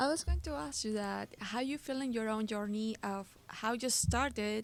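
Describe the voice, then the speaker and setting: A woman with a Peruvian accent speaks at a moderate pace with fairly even intonation. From Peru, Lima. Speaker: podcast host and voice actor. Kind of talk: casual chat.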